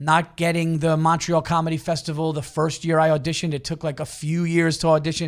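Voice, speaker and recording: On a very clean recording with a silent background, a man with an East Coast US accent talks at a fairly quick pace in a fairly high voice. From New York area. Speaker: stand-up comedian. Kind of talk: casual chat.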